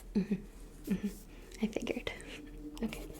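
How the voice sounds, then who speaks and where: The voice has a gentle tone. It is soft-spoken. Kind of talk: ASMR role play, soft-spoken talk to the listener. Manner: soft-spoken, gentle, friendly.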